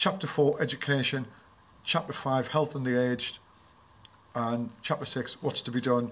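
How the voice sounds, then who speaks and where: A man at a moderate pace, his intonation fairly even. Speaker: book reviewer. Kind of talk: reading aloud a poem in a book review.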